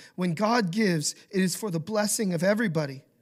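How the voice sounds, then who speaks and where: A man's high-pitched voice in an American accent, with ordinary pitch variation. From Idaho, US. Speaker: pastor. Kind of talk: sermon.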